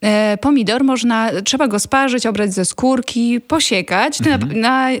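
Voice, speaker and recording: This woman has a plain, everyday voice, fairly high in pitch with ordinary pitch variation, speaking at a moderate pace on a very clean recording with a silent background. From rural Poland. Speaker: vegan food blogger and cookbook author. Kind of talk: casual interview chat.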